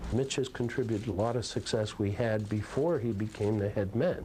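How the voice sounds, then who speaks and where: Somewhat breathy and dark, mellow in tone, a man talks at a moderate pace and medium pitch with ordinary pitch variation. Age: 70s. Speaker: basketball team owner. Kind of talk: interview answer.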